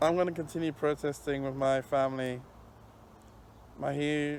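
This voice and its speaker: A man with a fairly high pitch speaks at a moderate pace in a monotone, flat intonation. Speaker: vlogger. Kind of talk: personal vlog. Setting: outdoors on a park bench. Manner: halting, repetitive.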